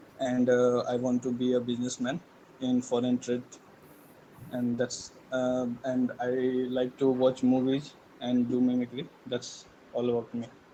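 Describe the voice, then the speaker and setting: Fairly slow, monotone delivery with flat intonation and long, frequent pauses over noticeable background noise. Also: man, medium pitch for a man. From India, Bihar and Delhi. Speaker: engineering student. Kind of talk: class self-introduction.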